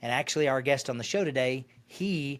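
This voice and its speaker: At a moderate pace, a man with a slight Arkansas accent talks in a medium-pitched voice with lively intonation, on a very clean recording with a silent background. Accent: faint Arkansas. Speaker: financial advisor and radio host. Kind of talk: interview.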